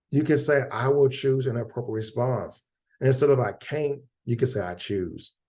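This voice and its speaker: An animated tone at a moderate pace, with ordinary pitch variation, against a quiet background. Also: man. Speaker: mental health educator leading a webinar. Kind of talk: webinar presentation. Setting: video call webinar.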